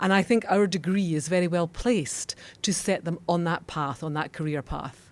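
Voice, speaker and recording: A woman with a Scottish accent speaks at a moderate pace and a fairly low pitch, with ordinary pitch variation. The recording is very clean, the background silent. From Scotland. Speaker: law school dean. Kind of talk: podcast interview. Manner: formal.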